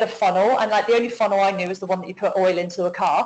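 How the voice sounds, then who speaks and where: A woman speaks with a British accent. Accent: UK. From UK. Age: 40s. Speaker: network marketing affiliate. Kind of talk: business testimony on a webinar. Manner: talkative, enthusiastic.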